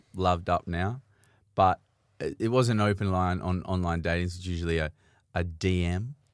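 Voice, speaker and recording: A man with an Australian accent and a very deep, low pitch speaks at a moderate pace with fairly even intonation and long, frequent pauses. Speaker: podcast host. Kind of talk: casual chat. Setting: studio. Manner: loud.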